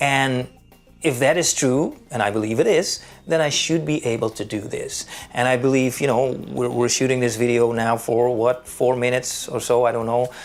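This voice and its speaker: A man with a non-native accent speaks at a moderate pace in a medium pitch, with ordinary pitch variation and noticeable background noise. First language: Dutch. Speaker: vlogger. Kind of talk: unscripted vlog monologue. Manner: hesitant, many fillers.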